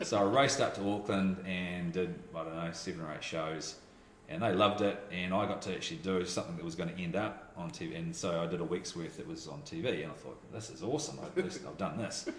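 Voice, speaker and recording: Speaking at a very fast pace, the voice comes through with noticeable background noise and audible room echo. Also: man, very deep, low pitch for a man, ordinary pitch variation. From New Zealand. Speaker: voiceover artist and radio teacher. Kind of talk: casual chat. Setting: radio school office. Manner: mumbling.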